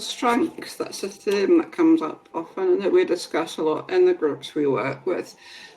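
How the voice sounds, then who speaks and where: With very wide pitch swings, a woman talks at a moderate tempo over noticeable background noise. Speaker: workshop facilitator. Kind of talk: webinar Q&A.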